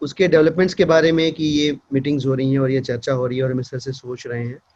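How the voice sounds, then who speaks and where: A man with a Bihari accent speaks at a fairly high pitch, somewhat breathy and with fairly even intonation. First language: Bhojpuri (speaking Hindi). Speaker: politician. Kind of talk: speech at event. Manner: hesitant with fillers.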